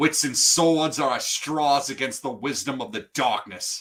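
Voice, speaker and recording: Growling in a put-on character voice, a man at medium pitch speaks at a moderate pace with ordinary pitch variation. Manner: menacing, growling.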